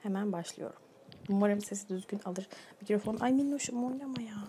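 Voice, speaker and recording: A woman speaks at moderate speed while noticeable noise runs in the background. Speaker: ASMR creator. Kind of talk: casual vlog chat. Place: kitchen.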